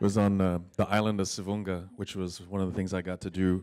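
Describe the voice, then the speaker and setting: In a very clean recording with a silent background, a man with an Alaskan accent speaks at a very deep, low pitch, his tone dark and mellow and his intonation fairly even. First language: Yupik. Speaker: dancer and teacher. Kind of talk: speech at fellows gathering. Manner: halting.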